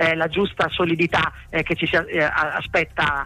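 A man with a high-pitched voice. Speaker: sports journalist. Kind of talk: match report.

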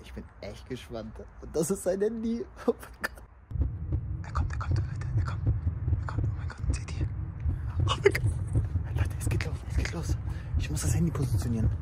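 Loud noise fills the background as a man talks at a moderate pace. He takes long, frequent pauses. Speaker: prank vlogger. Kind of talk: casual vlog chat. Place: street. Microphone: phone near.

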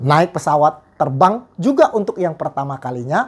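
A man's pitch swings very widely as he talks at a moderate speed. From Riau Islands, Indonesia (Tanjung Pinang area), Chinese-Indonesian; Riau Islands, Indonesia. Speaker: evangelist preacher; evangelist. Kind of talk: sermon. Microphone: lapel.

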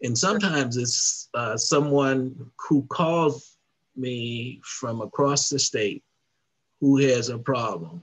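A man speaks very slowly with an American accent, a somewhat breathy quality, and ordinary pitch variation. The background is quiet. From US South. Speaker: civil rights organization president. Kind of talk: interview. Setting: video call. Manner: halting. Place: home room. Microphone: headset.

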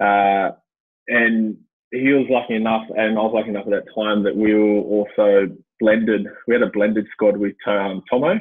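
In an Australian accent, a man speaks at a moderate pace with a fairly low pitch. His intonation stays fairly even, and the background is quiet. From Australia, Western Sydney (Blacktown); New South Wales, Australia. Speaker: former Olympic swimmer and swim coach; swim coach. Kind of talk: casual chat. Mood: relaxed, reflective.

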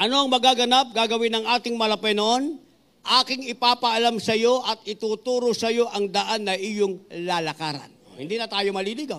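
This man's voice is high in pitch, with a bright, sharp tone. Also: ordinary pitch variation, moderate pace. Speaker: preacher. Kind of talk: sermon. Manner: fervent, rhythmic pulpit delivery, punctuated by 'mga minamahal' and Amens. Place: church. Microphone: handheld.

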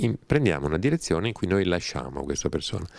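Against a quiet background, a man talks at a fairly quick pace with lively intonation. His voice shows vocal fry, and the sound is dry with no echo. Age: 60s. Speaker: writer and scholar of religions; interviewee. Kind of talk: interview conversation. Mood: calm, explanatory. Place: home room. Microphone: handheld.

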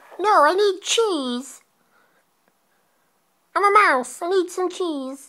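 This is a put-on character voice at an extremely high pitch. The pace is very slow. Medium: role play. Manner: persistent, repetitive.

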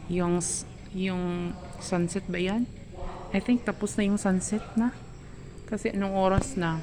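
In a Cebuano accent, a woman of medium pitch speaks at a very slow pace against noticeable background noise. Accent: Cebuano-accented Tagalog. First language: Cebuano (speaking Tagalog). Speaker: vlogger. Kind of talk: casual vlog. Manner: halting.

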